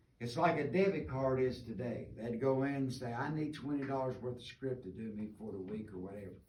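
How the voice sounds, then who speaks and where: A man's voice comes through somewhat breathy. Room echo is audible. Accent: Appalachian. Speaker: mine tour guide. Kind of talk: guided tour talk. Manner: fast.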